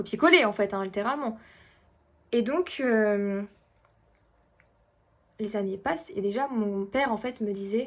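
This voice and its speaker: A woman with a fairly high pitch speaks at a fairly slow pace with ordinary pitch variation, on a very clean recording with a silent background. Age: 20s. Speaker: medium. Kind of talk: casual talk to camera.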